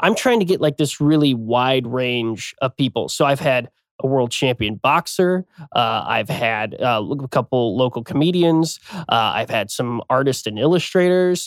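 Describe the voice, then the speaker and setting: A plain, everyday voice with an American accent. It moves at a moderate pace with lively intonation. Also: man, medium pitch for a man. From Kansas City area, US Midwest. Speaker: podcast host, former amusement park games manager. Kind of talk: casual chat.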